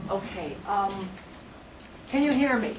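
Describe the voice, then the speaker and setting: Loud and with lively intonation, a woman speaks in an American accent amid audible room echo and noticeable background noise. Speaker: English teacher and teacher trainer. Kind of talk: lecture. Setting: classroom workshop with microphone.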